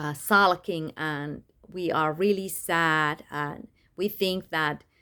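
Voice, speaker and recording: A woman's very slow, fairly low-pitched speech with a non-native accent and a bright, sharp tone, on a very clean recording with a silent background. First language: not English. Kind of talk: personal testimony monologue. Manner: halting, many fillers.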